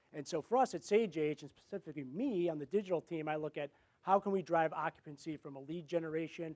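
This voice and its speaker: Loud and very fast, a man speaks at a fairly high pitch, the sound dry and close with no echo. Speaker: marketing executive. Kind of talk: conference presentation.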